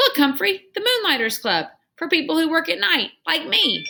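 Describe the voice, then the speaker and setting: Putting on a squeaky character voice, a woman speaks high and at a moderate pace with very wide pitch swings. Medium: read story.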